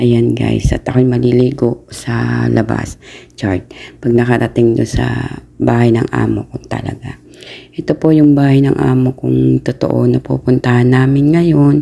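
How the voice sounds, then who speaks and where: Noticeable background noise runs beneath fairly slow speech. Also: woman. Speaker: domestic worker vlogger. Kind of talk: casual vlog narration. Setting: in a car. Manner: halting.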